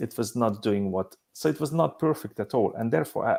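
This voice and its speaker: A man with a strong Hungarian accent speaks at a fairly quick pace, his medium pitch showing ordinary variation. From Hungary. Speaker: business simulation company CEO. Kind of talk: panel discussion. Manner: halting.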